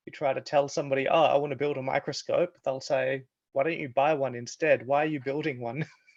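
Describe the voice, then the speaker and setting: An Australian accent marks this man's very fast speech, pitched fairly high and delivered with monotone, flat intonation. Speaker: researcher. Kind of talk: online discussion.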